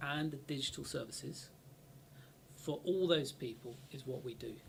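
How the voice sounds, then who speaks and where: This man talks with a fairly high pitch, ordinary pitch variation and vocal fry. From Bristol, western England. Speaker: university IT director, ex-military. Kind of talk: casual interview chat.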